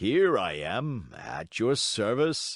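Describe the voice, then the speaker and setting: Against a quiet background, a raspy put-on character voice is heard. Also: man. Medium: read story. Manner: surly, quarrelsome.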